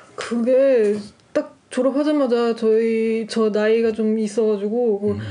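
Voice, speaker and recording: Against noticeable background noise, a woman talks at a very slow pace in a fairly high pitch with monotone, flat intonation. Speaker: artist. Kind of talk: casual chat.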